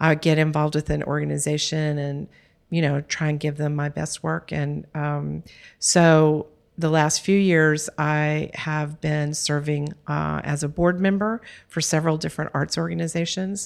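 A woman speaks in a Texan accent with a very deep, low pitch and monotone, flat intonation at a moderate pace. The recording is very clean, with a silent background. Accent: Texan American. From Texas. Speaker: art philanthropy board president. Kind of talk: interview conversation. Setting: studio.

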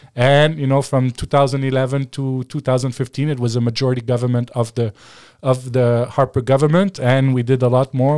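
In a French accent, a man talks at a moderate pace with medium pitch and a dark, mellow tone. His intonation is monotone and flat, and the sound is dry and close with no echo. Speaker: former political advisor and media analyst. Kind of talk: casual interview. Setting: studio.

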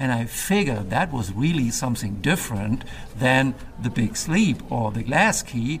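Lively intonation from a medium-pitched man at a moderate pace, with noticeable background noise. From Germany. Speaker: film noir website creator. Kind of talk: casual interview. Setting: recorded in a theater mezzanine with background noise.

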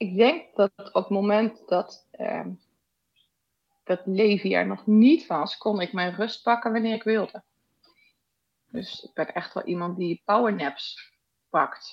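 With ordinary pitch variation, a woman speaks at a very slow pace, leaving long, frequent pauses. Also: medium pitch for a woman. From Netherlands, Rotterdam. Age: 40s. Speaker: podcast guest sharing personal ADD story. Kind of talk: casual interview.

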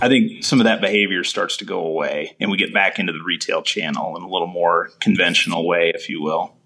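With an Upper Midwest accent, a man is speaking. His pace is fairly quick. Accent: Upper Midwest American. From southeast North Dakota. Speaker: farm equipment dealership sales manager. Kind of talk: casual interview.

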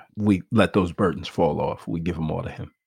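The speaker is a man. His voice has vocal fry. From US, Nigerian immigrant family. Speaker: pastor. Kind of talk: casual interview.

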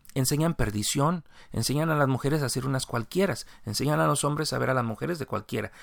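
A man talks very fast at a medium pitch with lively intonation. The recording is very clean, the background silent. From Mexico. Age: 40s. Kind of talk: religious commentary monologue. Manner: improvised, with fillers.

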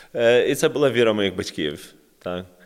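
A man talks at a moderate pace, captured on a very clean recording where the background is silent. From Kyiv, Ukraine (American-born, moved at 6). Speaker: missionary and worship musician. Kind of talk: casual chat.

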